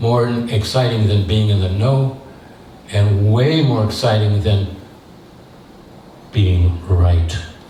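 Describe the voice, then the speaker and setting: Audible room echo surrounds a man with a fairly low voice, who speaks at a fairly slow pace with ordinary pitch variation. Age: 70s. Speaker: theatre director. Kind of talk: talk with audience Q&A. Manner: hesitant, many fillers.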